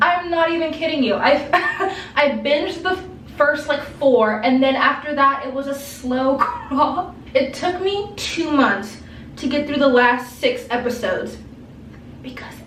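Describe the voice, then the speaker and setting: Noticeable background noise and audible room echo surround this recording. A woman with a high pitch talks at a fairly slow pace with lively intonation. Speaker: lifestyle vlogger. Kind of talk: casual chat. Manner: animated.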